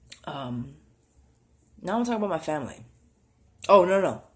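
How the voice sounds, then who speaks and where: At a moderate pace, a man talks with a high pitch. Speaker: vlogger. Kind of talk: casual vlog monologue. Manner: halting, many fillers.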